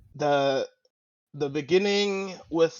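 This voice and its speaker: A man speaks very slowly with a non-native accent. His intonation is fairly even. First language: not English. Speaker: podcast host. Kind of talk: casual discussion. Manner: halting, searching for words.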